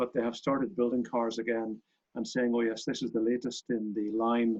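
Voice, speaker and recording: A man speaks with a Northern Irish accent. His pitch sits in the medium range. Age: 60s. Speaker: racing car company owner and club chairman. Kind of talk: interview.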